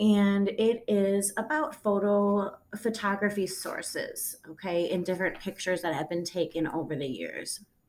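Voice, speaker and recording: At a moderate pace and with hardly any pauses, the speaker uses an ordinary speaking voice with ordinary pitch variation. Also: woman, medium pitch for a woman. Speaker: high school English teacher. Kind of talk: recorded lesson.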